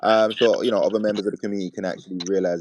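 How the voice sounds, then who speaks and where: A man speaks in a British accent. His pace is very fast. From UK. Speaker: crypto community space host. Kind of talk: casual chat. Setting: online audio space.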